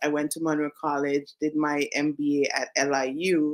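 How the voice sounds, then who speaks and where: A woman with a Caribbean accent speaks at a moderate pace in a very deep, low pitch with monotone, flat intonation. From Saint Vincent and the Grenadines. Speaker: career coach, business founder. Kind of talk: interview.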